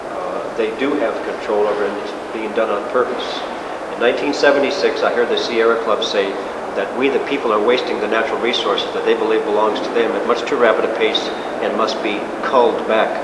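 Against loud background noise, a man speaks at a fairly quick pace. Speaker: interviewee. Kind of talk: interview answer. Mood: earnest, assertive. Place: hall. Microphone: camera far.

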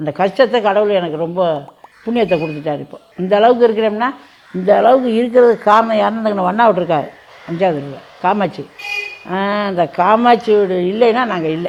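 Against noticeable background noise, a woman talks at medium pitch with ordinary pitch variation. Her loudness swings widely. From Burma. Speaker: Burma repatriate grandmother. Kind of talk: interview testimony.

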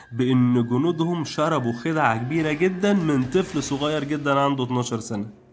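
This is a plain, everyday voice with ordinary pitch variation. The pace is fairly slow. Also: man. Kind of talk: scripted narration.

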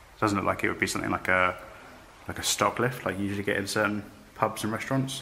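A man speaking at a very fast pace, fairly even intonation, light background noise. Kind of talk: casual vlog chat. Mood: curious, slightly spooked. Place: empty room. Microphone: phone near.

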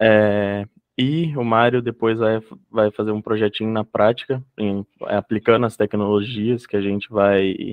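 A man's fairly low voice, fairly even in intonation, at a fairly slow pace against a quiet background. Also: dry sound with no echo. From interior São Paulo, Brazil (Ourinhos). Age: 20s. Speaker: software developer. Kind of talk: presentation. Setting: video call webinar. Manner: halting, many fillers. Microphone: video call.

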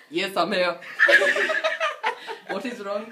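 A woman speaks very fast in a raised, projected voice over noticeable background noise. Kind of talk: drunken prank phone call.

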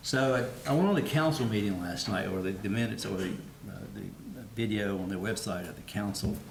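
A man with a fairly low voice speaks at a fairly quick pace with lively intonation, and audible room echo surrounds him. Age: 60s. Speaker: city council member. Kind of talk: public meeting remarks. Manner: halting, many fillers and repetitions.

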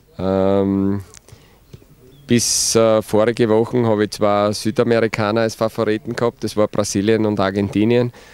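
With a Styrian accent, a man speaks at a fairly low pitch in a monotone, flat intonation, the sound dry with no echo. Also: moderate pace. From Styria, Austria. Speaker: football coach. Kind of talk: interview. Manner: hesitant, many fillers. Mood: relaxed, smiling. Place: open country. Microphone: handheld.

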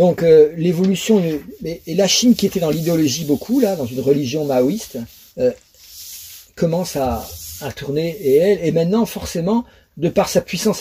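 A man with a high voice speaks at a moderate pace with lively intonation over light background noise. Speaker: astrology lecturer. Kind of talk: lecture. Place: home room. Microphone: webcam.

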